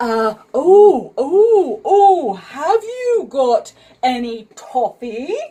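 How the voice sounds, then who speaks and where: A woman's put-on character voice, high in pitch, at a very slow pace with very wide pitch swings. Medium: read story. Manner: hesitant, stammering with "uh" and "oh".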